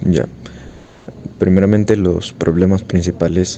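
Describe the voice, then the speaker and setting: Noticeable background noise sits behind a man whose very deep, low voice keeps a fairly even intonation. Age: 60s. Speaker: interviewee. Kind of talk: interview. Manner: halting.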